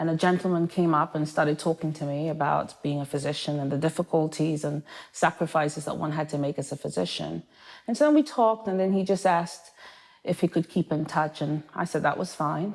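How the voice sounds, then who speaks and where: A woman with an English accent, a very deep, low pitch, fairly even intonation and a fairly quick pace. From Manchester, England. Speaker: primary care physician. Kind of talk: interview.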